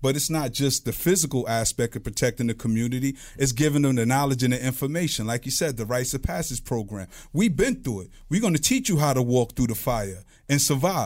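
A man with a Brooklyn accent talks at a fairly quick pace in a medium pitch with ordinary pitch variation. The recording is very clean, with a silent background. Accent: Brooklyn New York. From Brooklyn, New York. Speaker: guest. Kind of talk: casual chat.

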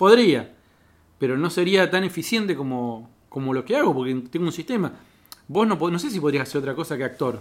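A man speaks at a fairly quick pace with a plain, everyday voice. His pitch sits fairly high. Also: lively intonation. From Cipolletti, Río Negro, Argentina. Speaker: stand-up comedian. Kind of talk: casual chat.

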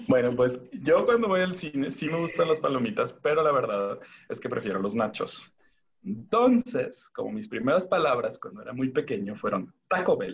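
At a moderate pace, a man with a fairly high pitch and vocal fry moves through very wide pitch swings. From Tijuana, Mexico. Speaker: podcast guest. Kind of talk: casual chat.

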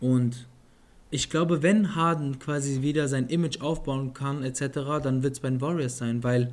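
A plain, everyday voice belongs to this man with a fairly high pitch. He keeps fairly even intonation at a moderate pace. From Germany, Offenbach. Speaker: NBA podcast co-host. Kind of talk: casual chat.

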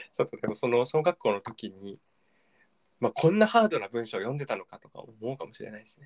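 A man talks at a very fast pace with big swings in loudness. The sound is dry and close, with no echo. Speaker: podcast co-host. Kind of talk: casual chat.

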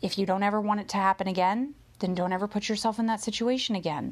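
Against a quiet background, a woman speaks in an animated tone. Her pitch is fairly high. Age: 30s. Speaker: motivational podcaster. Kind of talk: motivational monologue.

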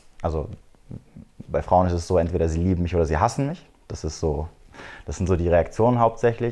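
Against a quiet background, a man with a very deep, low pitch and a dark, mellow tone speaks at a fairly quick pace with long, frequent pauses and ordinary pitch variation. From Germany, Frankfurt am Main area. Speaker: dating and red pill content creator. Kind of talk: podcast interview.

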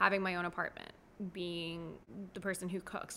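A woman with an American accent talks at a fairly quick pace, with a fairly low pitch and vocal fry. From South Florida, US. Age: 20s. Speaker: therapist for foster children. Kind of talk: casual interview chat. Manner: bubbly, animated.

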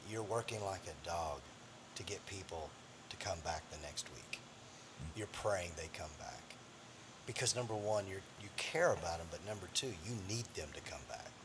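A man with a fairly low pitch and ordinary pitch variation speaks at a moderate pace over noticeable background noise. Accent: American. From Missouri Ozarks. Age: 50s. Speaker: pastor. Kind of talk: interview.

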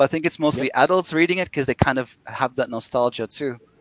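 A man with a Flemish accent at a very fast pace, his pitch varying in an ordinary way. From Belgium, Brussels. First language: Flemish Dutch. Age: 30s. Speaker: novelist. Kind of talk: casual chat.

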